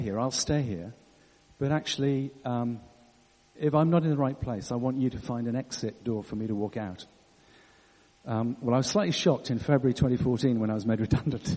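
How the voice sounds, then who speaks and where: A man with a medium-pitched voice talks at a moderate pace with ordinary pitch variation, leaving long, frequent pauses. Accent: English. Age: 60s. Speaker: church leader. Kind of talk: sermon.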